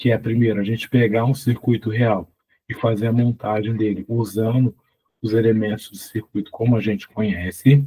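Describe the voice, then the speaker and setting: This man has a dark, mellow tone at medium pitch and is somewhat breathy. He speaks at a moderate pace with monotone, flat intonation. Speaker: physics teacher. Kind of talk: tutorial. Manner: casual, conversational.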